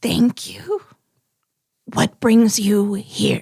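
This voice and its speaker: A woman's put-on character voice at medium pitch, with hissing. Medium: actual play.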